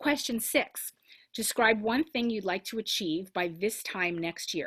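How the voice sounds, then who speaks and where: Her intonation is lively as the woman speaks at a medium pitch. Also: dry, close sound with no echo. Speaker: rabbi. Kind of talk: guided reflection in a religious service. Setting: video call. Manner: fast.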